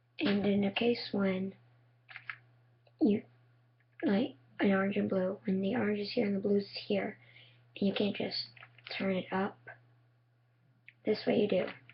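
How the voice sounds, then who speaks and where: A woman speaks at a moderate pace in a somewhat breathy voice, with fairly even intonation and long, frequent pauses. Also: medium pitch for a woman. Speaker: cube tutorial maker. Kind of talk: tutorial.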